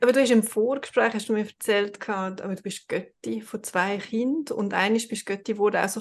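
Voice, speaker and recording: A woman's fairly high-pitched, unremarkable speaking voice with ordinary pitch variation and a moderate pace. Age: 40s. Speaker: podcast host. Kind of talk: casual interview.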